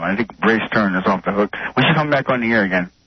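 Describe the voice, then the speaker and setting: Very fast speech from a man, fairly low in pitch with ordinary variation, amid noticeable background noise. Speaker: caller. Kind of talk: phone-in call. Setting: phone call. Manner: mumbly.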